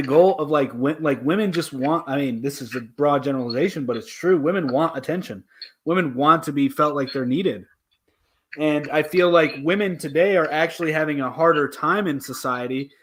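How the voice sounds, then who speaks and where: In a very clean recording with a silent background, a man speaks in an unremarkable speaking voice, fairly high in pitch, with ordinary pitch variation at a moderate pace. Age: 20s. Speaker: debate show host. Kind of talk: casual debate chat. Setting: livestream.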